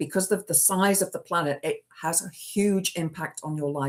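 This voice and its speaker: A woman with an ordinary speaking voice talks at a fairly low pitch. Her intonation is lively and her pace is moderate. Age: 50s. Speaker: livestreamer. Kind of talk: casual chat. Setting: livestream.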